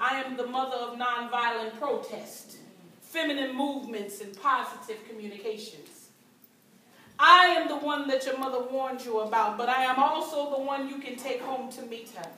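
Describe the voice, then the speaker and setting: A woman with an American accent uses a raised, projected voice at a high pitch, with ordinary pitch variation and big swings in loudness at a moderate pace. Audible room echo and light background noise surround her. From United States. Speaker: performance poet. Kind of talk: live spoken word poetry performance. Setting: live event room, amateur recording. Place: hall. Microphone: camera far.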